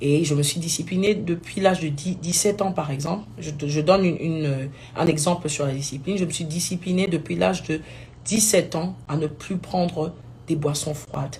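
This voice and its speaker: A woman with a very deep, low pitch and a dark, mellow tone speaks somewhat breathily, with ordinary pitch variation. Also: moderate pace. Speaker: gospel singer. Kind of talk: live video talk. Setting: live stream.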